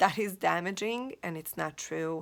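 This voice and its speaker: On a very clean recording with a silent background, a woman with a Hungarian accent speaks at a fairly slow pace and a medium pitch. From Hungary. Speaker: life coach. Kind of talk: motivational talk. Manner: halting, with frequent repetitions.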